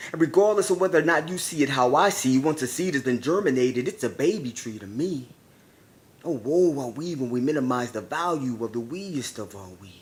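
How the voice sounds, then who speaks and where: A man with a normal speaking voice, fairly high-pitched, with lively intonation, a fairly quick pace and big swings in loudness. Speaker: spoken word poet. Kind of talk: spoken word poetry performance. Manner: emotional, intense.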